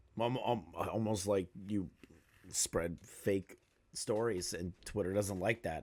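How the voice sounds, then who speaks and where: Very slow speech from a man, with ordinary pitch variation. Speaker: drama commentary YouTuber. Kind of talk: angry reaction commentary. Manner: heated, sarcastic.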